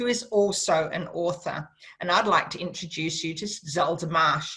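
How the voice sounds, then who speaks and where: Here a woman talks with an Australian accent. She goes at a fairly slow pace. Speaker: radio host. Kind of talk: radio interview. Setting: radio studio.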